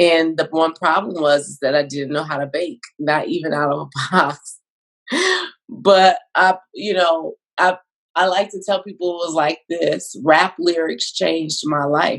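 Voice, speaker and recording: An unremarkable speaking voice, this woman's sits fairly low in pitch, moves at a fairly slow pace with ordinary pitch variation, and shows big swings in loudness. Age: 40s. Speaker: bakery owner, entrepreneur. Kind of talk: interview.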